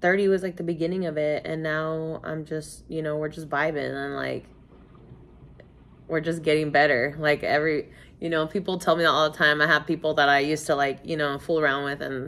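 A woman talks at a fairly quick pace in a very deep, low pitch with monotone, flat intonation. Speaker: vlogger. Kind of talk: casual vlog chat. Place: home room.

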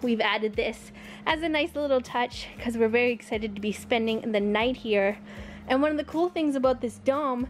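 High-pitched woman with ordinary pitch variation over faint music in the background. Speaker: travel vlogger. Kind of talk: casual tour narration. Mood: cheerful, enthusiastic. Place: tent. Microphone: phone near.

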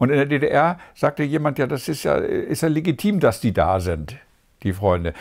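Vocal fry marks this man's fairly high voice, which swings very widely in pitch at a moderate pace. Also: quiet background. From East Germany. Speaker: former East German dissident, theologian. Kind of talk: interview answer. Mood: calm, reflective. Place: home room.

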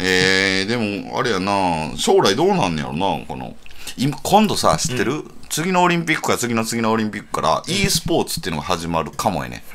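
A man with a fairly low voice talks at a fairly quick pace with very wide swings in pitch and hardly any pauses. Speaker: writer, radio co-host. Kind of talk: casual radio banter.

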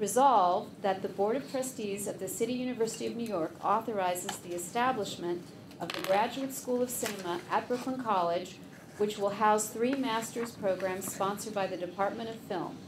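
A woman talks at a fairly quick pace with ordinary pitch variation. Noticeable background noise runs underneath. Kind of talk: formal reading then explanation. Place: meeting room. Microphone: podium.

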